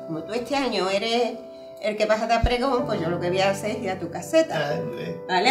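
The pace is fairly quick, with clear music in the background. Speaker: friend sharing memories. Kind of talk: casual conversation. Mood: warm, animated, laughing. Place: home room.

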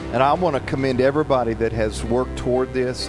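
Music comes through clearly behind the speaker. He is a man talking fairly quickly. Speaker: guest preacher. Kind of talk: sermon. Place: church. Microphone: handheld.

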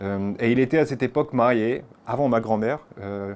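Speech unfolds at a moderate pace. The pitch shows ordinary variation. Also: man. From France. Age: 30s. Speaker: interviewee. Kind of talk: interview. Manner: hesitant with frequent fillers. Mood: calm, reflective storytelling. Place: home room. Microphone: lapel.

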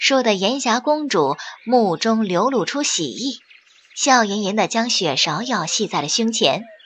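The voice is plain reading aloud. Its pitch shifts in an ordinary way.

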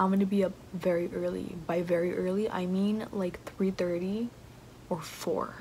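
A woman talks in a monotone, with flat intonation. Light background noise sits behind her. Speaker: student vlogger. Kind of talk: casual vlog chat. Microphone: phone near.

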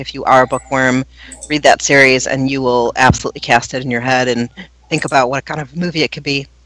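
A woman talking at a very fast clip. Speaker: podcast co-host. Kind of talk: casual chat.

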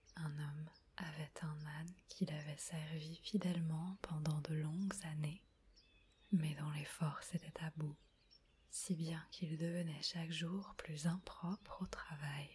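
Soft-spoken and whispering, the speaker goes at a very slow pace. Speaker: audiobook / ASMR reader. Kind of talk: soft-spoken bedtime story reading. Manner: whispered, soft, slow.

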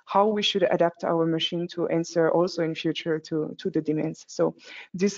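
Against a quiet background, a woman speaks in an ordinary speaking voice at a fairly low pitch, a moderate pace and with ordinary pitch variation. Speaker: presenter. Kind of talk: business presentation.

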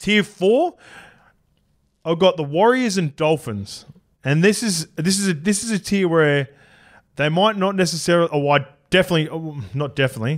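A man with an Australian accent talks at a moderate pace with a high pitch and lively intonation. He takes long, frequent pauses against a quiet background. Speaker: rugby league podcast host. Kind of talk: casual chat. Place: studio. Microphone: studio mic.

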